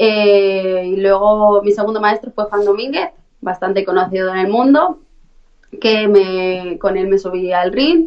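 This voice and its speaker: An unremarkable speaking voice from a woman, medium in pitch with ordinary pitch variation, at a fairly slow pace. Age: 20s. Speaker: professional fighter. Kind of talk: interview.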